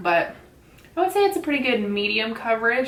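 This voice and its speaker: A woman talks very fast in a room with audible echo. Noticeable background noise sits behind her. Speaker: beauty vlogger. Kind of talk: casual chat. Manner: loud; soft-spoken.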